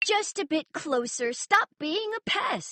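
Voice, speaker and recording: Delivered at a fairly slow pace, this put-on character voice swings very widely in pitch. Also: woman. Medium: read story.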